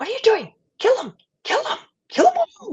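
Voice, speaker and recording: This put-on character voice is shrill and extremely high-pitched. It moves at a moderate pace. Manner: commanding, shrieking.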